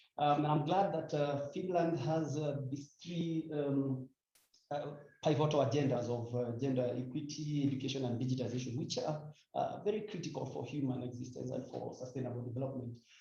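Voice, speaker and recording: A man with a medium pitch and a dark, mellow, somewhat breathy tone speaks at a fairly quick pace with ordinary pitch variation. Audible room echo surrounds his voice. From Kenya, Rift Valley. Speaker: WHO health official, panel speaker. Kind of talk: panel speech. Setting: indoor breakfast event at ambassador's residence. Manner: halting, many fillers.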